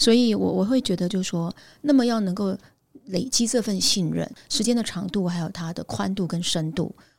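With an ordinary speaking voice, a woman talks at a fairly quick pace at medium pitch with ordinary pitch variation. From Taiwan, Pingtung. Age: 50s. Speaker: headhunting firm founder. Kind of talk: interview.

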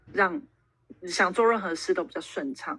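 The woman's pitch is medium. She talks at a fairly quick pace. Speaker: traveler and working holiday veteran. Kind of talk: casual interview.

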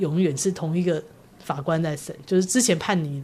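Moderately paced speech from a woman, somewhat breathy. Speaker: publishing editor-in-chief. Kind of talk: interview. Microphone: poor sound quality in second half due to equipment.

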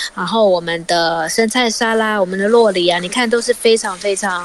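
A woman talks at a moderate pace with ordinary pitch variation and a medium pitch, over noticeable background noise. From Taiwan, Tainan. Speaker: cookbook author and cooking teacher. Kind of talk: radio interview with recipe explanation. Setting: remote line from outside the studio.

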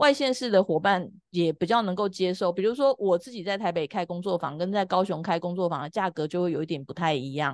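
A woman speaks in an ordinary speaking voice, medium-pitched, with lively intonation at a fairly quick pace. The sound is dry and close with no echo, against a quiet background. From Taiwan, Taipei. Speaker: family constellation facilitator. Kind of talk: casual interview chat.

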